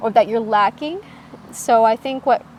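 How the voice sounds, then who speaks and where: This is a woman speaking with a Midwestern US accent. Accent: General American, Midwestern. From US Midwest, Michigan. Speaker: podcast guest. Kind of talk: casual interview chat.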